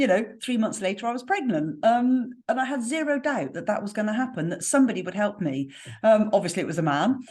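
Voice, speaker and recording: A woman speaks at a very fast pace in a fairly high pitch with very wide pitch swings. Her voice is somewhat breathy, with a slight West Country accent. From West Country, southwest England. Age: 50s. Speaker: spiritual healer and mentor. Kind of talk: podcast interview.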